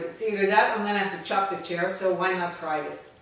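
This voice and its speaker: A woman with a slight Dutch accent and a medium pitch, amid audible room echo and noticeable background noise. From Netherlands. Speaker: vlogger, registered nurse. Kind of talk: casual vlog talk. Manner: hesitant, with fillers.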